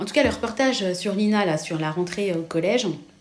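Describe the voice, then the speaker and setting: A woman speaks at a medium pitch, and room echo is audible. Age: 40s. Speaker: vlogger. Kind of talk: casual chat. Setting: kitchen. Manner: rising pitch, many fillers.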